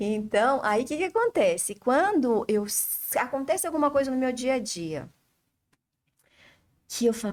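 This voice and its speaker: An animated tone with lively intonation. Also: woman. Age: 60s. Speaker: flower essence therapist. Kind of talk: interview. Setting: studio.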